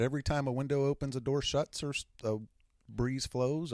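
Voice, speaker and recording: A man with an unremarkable speaking voice talks at a fairly quick pace and a fairly high pitch, with a dry, close sound and no echo. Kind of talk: casual chat. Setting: home basement studio.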